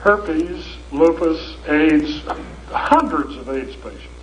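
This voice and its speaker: A voice with an American accent amid noticeable background noise and audible room echo. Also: man. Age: 70s. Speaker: lecturer. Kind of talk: lecture. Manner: animated.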